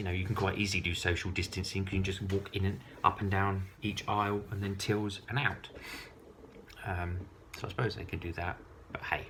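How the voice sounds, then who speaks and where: A man with an English accent, fairly low in pitch, fairly quick yet with long, frequent pauses, monotone and flat in intonation, over noticeable background noise. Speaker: vlogger. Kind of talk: casual monologue to camera. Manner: hesitant, many ums.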